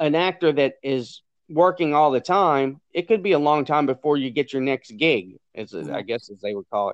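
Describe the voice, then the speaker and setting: This man talks at a moderate pace with a Louisiana accent, his pitch fairly high and his intonation lively. His loudness swings widely, and the sound is dry and close with no echo. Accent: Southern US (Louisiana). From Louisiana, US South. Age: 40s. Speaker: jockey and racehorse trainer. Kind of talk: interview.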